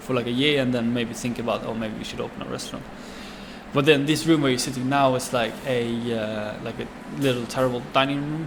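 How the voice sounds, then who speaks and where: Speaking at a very fast pace with a Swedish accent, a man of medium pitch keeps his intonation fairly even over noticeable background noise. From Sweden. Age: 20s. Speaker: chef and restaurant owner. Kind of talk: interview answer.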